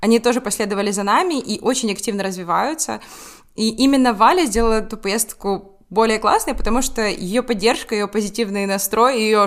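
A woman's fairly high voice at a moderate pace, with ordinary pitch variation and an ordinary speaking voice. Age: 20s. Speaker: law student, student group co-founder. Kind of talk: casual interview.

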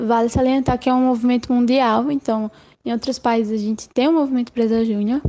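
A woman speaks at a high pitch with a dark, mellow tone. Her intonation stays monotone and flat. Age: 20s. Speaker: university student. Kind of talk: casual interview.

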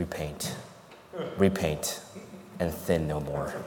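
Booming and loud, a man puts on a character voice with a very deep, low pitch at a fairly slow pace, with slight echo and clear background noise. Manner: thundering, commanding.

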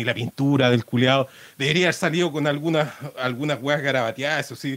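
A man with a Chilean accent, moderate pace and ordinary pitch variation. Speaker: podcast host. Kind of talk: casual monologue. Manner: halting; animated.

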